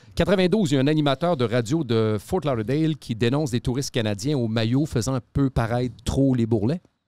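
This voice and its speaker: The voice has a dark, mellow tone and very even loudness, with ordinary pitch variation, a dry sound with no echo and a quiet background. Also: man, moderate pace. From Quebec City; Quebec. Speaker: podcast host. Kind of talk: casual chat. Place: studio. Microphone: studio mic.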